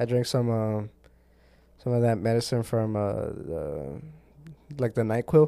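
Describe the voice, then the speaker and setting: A man speaks at a medium pitch in a dark, mellow tone, with ordinary pitch variation. His pace is fairly slow, broken by long, frequent pauses. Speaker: podcast co-host. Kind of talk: casual chat. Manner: casual, slangy, laughs often.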